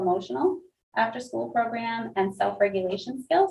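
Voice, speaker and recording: This woman's voice is somewhat breathy. She speaks at a fairly quick pace. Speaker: school principal. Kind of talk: board meeting report. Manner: fast.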